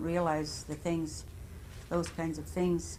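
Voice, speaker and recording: Room echo is audible as this woman speaks at a moderate tempo. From Standing Rock, North Dakota. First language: Lakota. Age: 70s. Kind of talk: oral history interview. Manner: halting, with many restarts.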